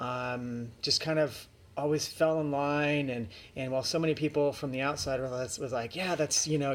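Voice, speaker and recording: A man's fairly high voice at a moderate pace with ordinary pitch variation, on a very clean recording with a silent background. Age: 30s. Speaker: vlogger with type 1 diabetes. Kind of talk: personal vlog monologue. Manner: halting, many fillers.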